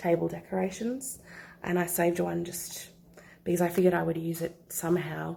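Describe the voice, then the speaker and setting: The speaker is a woman with a fairly low voice. It has a somewhat breathy quality. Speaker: scrapbooker. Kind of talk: casual craft walk-through to camera.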